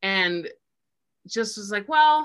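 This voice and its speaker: Bright and sharp in tone, a woman speaks at a fairly slow pace with lively intonation. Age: 40s. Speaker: sex educator and shop owner. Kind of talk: casual chat.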